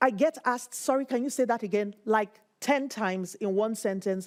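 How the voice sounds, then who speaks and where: In a Nigerian accent, a woman speaks at a moderate pace with a fairly high pitch and ordinary pitch variation. The recording is very clean, with a silent background. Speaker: PhD researcher. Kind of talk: interview.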